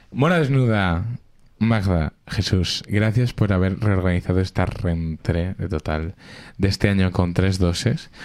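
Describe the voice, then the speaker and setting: Very deep and low in pitch, a man speaks at a fairly slow pace with ordinary pitch variation on a very clean recording with a silent background. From Madrid (Alcorcón). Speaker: radio show host. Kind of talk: casual chat. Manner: animated.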